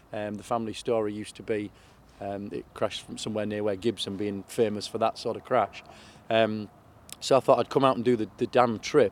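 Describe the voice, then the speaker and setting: Fairly low-pitched, a man with a Yorkshire accent talks at a fairly quick pace. His intonation is monotone and flat, while his loudness swings widely. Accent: Yorkshire (Hull). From northern England, Hull area. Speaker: charity motorcycle rider. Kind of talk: interview. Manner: halting, many fillers.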